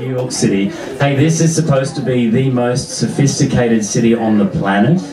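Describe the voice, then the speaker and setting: Over noticeable background noise, a man with an Australian accent talks with ordinary pitch variation. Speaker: stand-up comedian. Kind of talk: stand-up comedy set. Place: stage.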